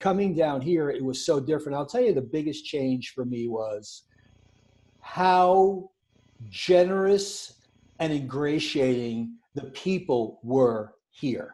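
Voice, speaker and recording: A man with a New York accent speaks very slowly in a dark, mellow tone. His pitch is fairly high and his intonation lively. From New York City. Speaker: podcast co-host. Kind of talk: casual chat.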